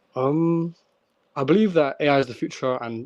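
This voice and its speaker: Heard in a dry, close sound with no echo, the speaker talks at a fairly slow pace with ordinary pitch variation. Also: man. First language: not English. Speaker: crypto project founder. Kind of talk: interview. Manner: halting with fillers.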